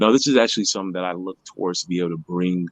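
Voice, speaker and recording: A man with a very deep, low pitch and fairly even intonation is heard in a dry, close sound with no echo. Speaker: motivational podcast co-host. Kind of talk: casual chat.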